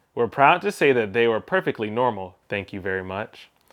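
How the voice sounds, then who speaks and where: This man has a medium pitch, an American accent and a normal speaking voice, with lively intonation. The recording is very clean, with a silent background. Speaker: English pronunciation teacher. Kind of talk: read-aloud of a novel for shadowing practice.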